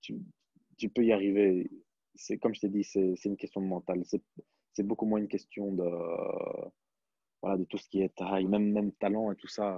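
A man's fairly low, monotone voice at a moderate pace, with long, frequent pauses, a dry sound with no echo, and a quiet background. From Belgium. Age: 20s. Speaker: professional basketball player. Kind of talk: interview. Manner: hesitant, many fillers. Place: home room. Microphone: earbuds.

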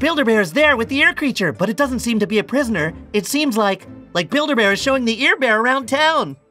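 In a cartoonish character voice, a man speaks extremely high, very fast and raised and projected, his pitch swinging very widely. His loudness stays very even, with faint music in the background. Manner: anxious, whiny.

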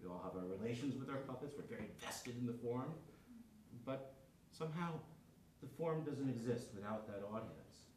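A man speaks at a moderate pace with long, frequent pauses and ordinary pitch variation, over light background noise and audible room echo. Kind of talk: lecture. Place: classroom.

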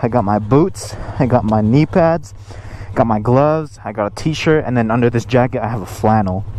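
Music plays behind a man speaking at a fairly quick pace with lively intonation. The sound is dry, with no echo. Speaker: motovlogger. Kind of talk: casual vlog chat. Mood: upbeat, eager to ride. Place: motorbike.

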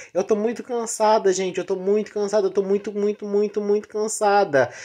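A woman's voice against a quiet background. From Brazil, rural area. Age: 30s. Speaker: vlogger. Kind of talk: personal vlog confession. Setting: in bed at home. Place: home room. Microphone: phone near.

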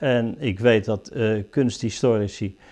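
This man talks at a very slow pace. The background is quiet. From Netherlands, The Hague; Netherlands. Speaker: painter. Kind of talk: interview; interview answer. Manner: halting. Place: workshop. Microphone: lapel.

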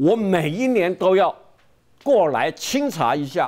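Against a quiet background, a man with a Taiwanese accent speaks with very wide pitch swings. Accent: Taiwanese Mandarin. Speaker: veteran journalist; military commentator guest. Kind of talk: TV political talk show, storytelling. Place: studio. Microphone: lapel.

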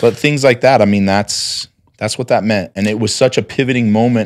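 There is a quiet background behind a man speaking at a fairly low pitch. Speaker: entrepreneur; podcast guest. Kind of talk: casual interview. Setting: at home. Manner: loud. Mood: earnest, reflective. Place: studio. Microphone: studio mic.

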